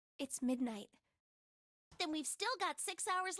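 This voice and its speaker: Using a put-on character voice, a woman speaks at a fairly slow pace with an extremely high pitch and very wide pitch swings. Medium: video game. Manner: soft, earnest.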